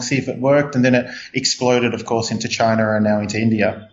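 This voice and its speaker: A man with an Australian accent and a medium pitch talks at a very fast pace with fairly even intonation. Noticeable background noise runs underneath. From Australia, Melbourne. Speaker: startup CEO. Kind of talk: interview. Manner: halting, many fillers.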